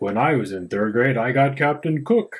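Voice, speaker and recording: A man's put-on character voice at a medium pitch and moderate pace. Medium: read story.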